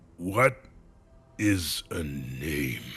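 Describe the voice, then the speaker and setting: A man growls in a put-on character voice. His pitch is very deep and low. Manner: gruff, questioning.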